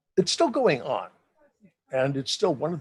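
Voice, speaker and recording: Somewhat breathy male speech. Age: 70s. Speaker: SCA veteran fighter and herald. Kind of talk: casual chat.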